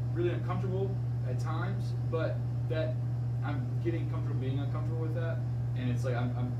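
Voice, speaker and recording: A man talks at a very fast pace. Loud background noise runs behind him. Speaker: fitness coach. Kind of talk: casual podcast-style discussion. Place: office. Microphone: camera far.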